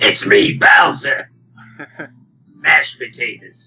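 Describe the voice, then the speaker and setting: A man puts on a character voice, delivered at a fairly slow pace. It comes out gruff, raspy and growling. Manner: gruff, growling.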